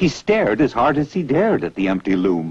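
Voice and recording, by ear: Speaking at a moderate pace, a man with a medium pitch and a slightly husky edge moves through very wide pitch swings.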